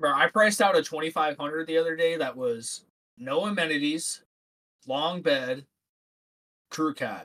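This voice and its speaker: A man with an American accent, fairly high-pitched, with ordinary pitch variation, a fairly slow pace and long, frequent pauses. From Ohio, US. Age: 20s. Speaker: podcast guest. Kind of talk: casual chat.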